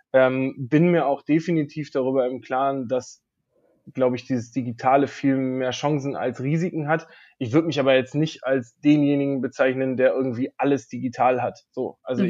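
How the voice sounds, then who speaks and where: The background is quiet as a man speaks. His pitch is fairly high, with ordinary variation. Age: 30s. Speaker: vocational trainer. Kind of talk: interview. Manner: hesitant, many filler sounds.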